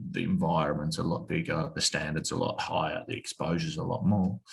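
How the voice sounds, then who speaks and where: A man talks with an Australian accent. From Australia (Tasmania). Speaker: former footballer. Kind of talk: podcast interview.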